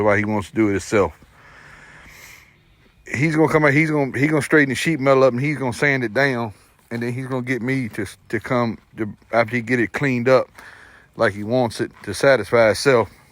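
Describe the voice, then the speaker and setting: A man at a medium pitch and fairly quick pace, with ordinary pitch variation. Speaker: tractor mechanic helping an elderly farmer. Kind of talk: casual talk to camera.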